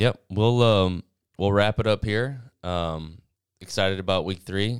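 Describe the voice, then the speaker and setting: Very deep and low, a man's voice comes through a very clean recording with a silent background. His pitch variation is ordinary. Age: 30s. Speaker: fantasy football league player. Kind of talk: casual chat.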